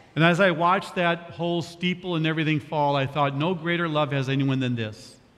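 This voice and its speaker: Audible room echo around a man's fairly high voice, its pitch varying in an ordinary way. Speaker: senior pastor. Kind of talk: sermon.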